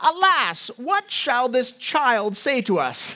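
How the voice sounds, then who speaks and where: A woman's put-on character voice, high-pitched and very slow, with very wide pitch swings. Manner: cantankerous, disapproving, drawn-out.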